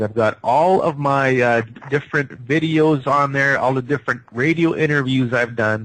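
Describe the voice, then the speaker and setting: This man has a plain, everyday voice at medium pitch, talking at a moderate pace with hardly any pauses, fairly even intonation and very even loudness. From Canada. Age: 50s. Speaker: psychic healer. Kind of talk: radio interview.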